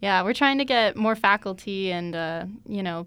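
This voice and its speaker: An American-accented woman talks at a moderate pace and medium pitch in a normal speaking voice. The recording is very clean, with a silent background. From Tucson, Arizona. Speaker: student radio host. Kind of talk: interview.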